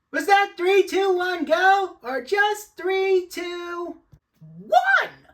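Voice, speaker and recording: An extremely high, squeaky, put-on character voice. It talks at a very slow pace. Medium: fan dub. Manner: chattering, flustered.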